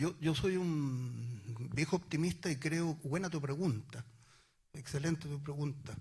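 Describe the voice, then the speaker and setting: A man with a fairly high pitch talks in a somewhat breathy way. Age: 60s. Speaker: former political activist. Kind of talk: panel discussion. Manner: halting.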